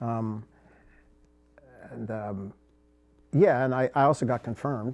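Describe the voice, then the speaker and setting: This man's voice has a dark, mellow tone and a medium pitch, moving at a moderate pace with ordinary pitch variation. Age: 70s. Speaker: war veteran. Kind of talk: casual interview.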